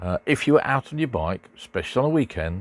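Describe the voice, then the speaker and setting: A man with an English accent and very wide pitch swings. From Great Britain. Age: 70s. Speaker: motorcycle vlogger. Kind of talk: casual monologue. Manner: halting, many fillers.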